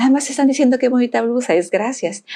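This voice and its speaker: Lively intonation and a dark, mellow tone come through at a fairly quick pace. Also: woman. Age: 60s. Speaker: podcast guest. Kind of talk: casual chat.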